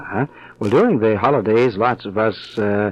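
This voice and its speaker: A man at a moderate pace, medium in pitch with ordinary pitch variation, speaks in a normal speaking voice. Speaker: radio personality. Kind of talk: radio interview questions.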